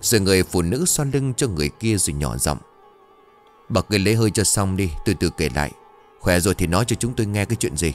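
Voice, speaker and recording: Over faint music in the background, a man with a very deep, low pitch speaks at a moderate pace in a dry sound with no echo. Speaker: storyteller narrator. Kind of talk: dramatic story reading. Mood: suspenseful horror storytelling. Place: studio. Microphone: studio mic.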